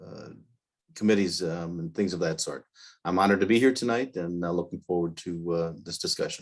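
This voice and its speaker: A man with a very deep, low pitch and an Upper Midwest accent, over a quiet background. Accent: Upper Midwest American. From northeast Wisconsin, US. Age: 60s. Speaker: political candidate. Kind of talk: candidate forum opening statement. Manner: halting, many fillers.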